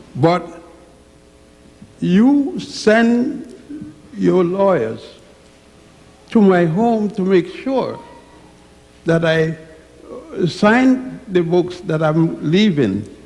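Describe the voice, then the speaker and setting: A man with a high pitch and lively intonation speaks very slowly. Room echo is audible, and there is noticeable background noise. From Virgin Islands / Puerto Rico. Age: 80s+. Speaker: elderly audience member, scholar. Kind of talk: impromptu address. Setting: church with audience. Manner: halting.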